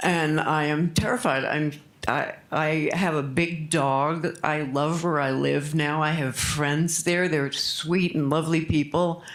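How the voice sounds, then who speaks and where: Noticeable background noise is present. The pace is very slow, yet there are hardly any pauses. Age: 70s. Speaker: public commenter at city council meeting. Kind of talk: public comment testimony.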